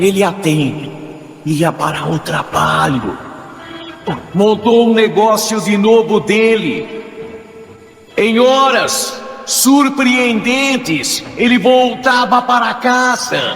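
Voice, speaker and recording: With music in the background, a man speaks in a dramatic tone at a high pitch and very slow pace, using lively intonation and long, frequent pauses. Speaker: police crime reporter. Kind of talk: radio crime story narration. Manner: dramatic, tense, repetitive.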